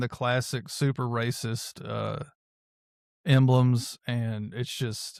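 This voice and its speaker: Talking at a very slow pace, a man with an American accent keeps to a medium pitch. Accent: country twang. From US South, Memphis, Tennessee. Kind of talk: casual chat.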